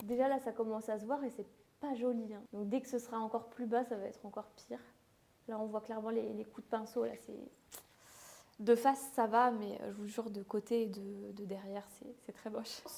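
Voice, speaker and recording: Talking at a fairly quick pace, a woman with a fairly high pitch keeps a monotone, flat intonation. Her tone is dark and mellow, and her loudness swings widely. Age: 20s. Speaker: beauty content creator. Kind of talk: casual vlog talk to camera. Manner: fast; hesitant, with fillers.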